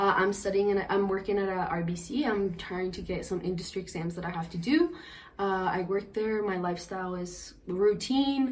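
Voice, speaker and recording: A woman's medium-pitched voice with ordinary pitch variation, plus audible room echo and noticeable background noise. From Colombia. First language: Spanish. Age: 20s. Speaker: podcast guest. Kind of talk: interview. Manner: fast.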